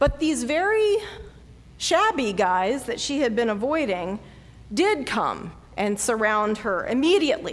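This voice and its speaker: A woman with a high pitch, very wide pitch swings and a Southern US accent, at a fairly slow pace, with audible room echo. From US South, North Carolina. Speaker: pastor. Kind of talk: sermon.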